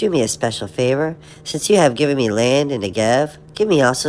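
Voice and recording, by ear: The voice reads aloud naturally.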